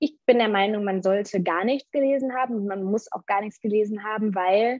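A normal speaking voice from a woman, medium in pitch, with fairly even intonation and a moderate pace. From Germany. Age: 20s. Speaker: radio presenter and author. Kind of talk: interview.

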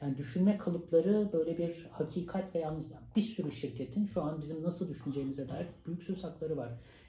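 With an ordinary speaking voice, a man talks at a fairly quick pace with ordinary pitch variation. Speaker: sociologist and university lecturer. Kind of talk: interview.

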